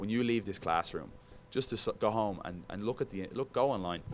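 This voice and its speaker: A man with an Irish accent talks at a very fast pace. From Ireland, Dublin. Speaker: sports broadcaster. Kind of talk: guest talk to broadcasting students. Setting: classroom. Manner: casual, animated.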